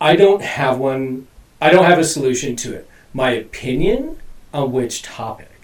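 Noticeable background noise sits behind a man speaking at a moderate pace. His voice is fairly high, with ordinary pitch variation and big swings in loudness. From Alaska (Anchorage area). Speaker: recovering addict sharing his story. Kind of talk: testimony in casual chat.

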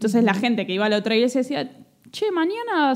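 A woman speaks in a Rioplatense accent at a high pitch with very wide pitch swings. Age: 30s. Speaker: podcast host. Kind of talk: casual chat.

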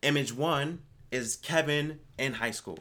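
Recorded very cleanly against a silent background, a man's fairly high voice comes through with a bright, sharp tone. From Virginia Beach, Virginia. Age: 30s. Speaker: business consultant. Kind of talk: casual chat.

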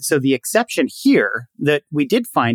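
In an ordinary speaking voice, a man with fairly high pitch uses lively intonation, the sound dry and close with no echo. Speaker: sociology professor. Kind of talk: interview.

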